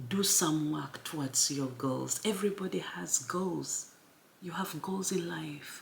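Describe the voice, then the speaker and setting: A woman at a very deep, low pitch and very slow pace, with very wide pitch swings, over noticeable background noise. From Uganda. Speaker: YouTuber. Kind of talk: motivational talk. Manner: casual.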